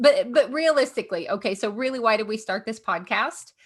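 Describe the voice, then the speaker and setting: This woman has a Southern US accent and a high pitch. She talks at a moderate pace with lively intonation. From Kentucky, US South. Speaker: podcast co-host, comedian. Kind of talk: casual chat.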